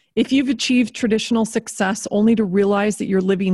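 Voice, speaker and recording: A somewhat breathy woman at a medium pitch comes through a dry, close sound with no echo and a very clean recording with a silent background. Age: 50s. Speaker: podcast host. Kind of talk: casual chat; scripted narration. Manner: animated.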